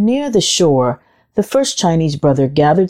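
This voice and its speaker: A woman's gentle, animated tone, very deep and low in pitch, with very wide pitch swings. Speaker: storyteller host of a children's audio story show. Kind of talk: children's storybook narration, read aloud. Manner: gentle, measured storyteller pacing with expressive, animated character lines.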